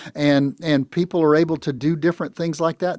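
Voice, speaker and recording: A man's ordinary speaking voice with an American accent, fairly quick pace and ordinary pitch variation, in a very clean, dry, close recording with no echo and a silent background. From US South. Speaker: retirement financial advisor. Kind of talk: radio talk show conversation.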